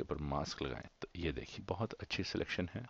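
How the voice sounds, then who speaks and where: A man is speaking. His voice carries vocal fry. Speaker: software tutorial host. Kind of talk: tutorial. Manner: halting, searches for words; mixes English into Hindi.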